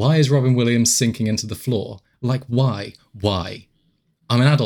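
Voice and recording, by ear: The background is quiet. Against it, someone reads aloud in a natural voice.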